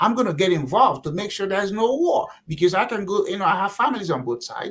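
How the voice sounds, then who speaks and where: With a Nigerian accent, this speaker talks at a fairly quick pace. The tone is animated and the intonation lively. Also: man. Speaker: political candidate. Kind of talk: interview. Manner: repetitive false starts.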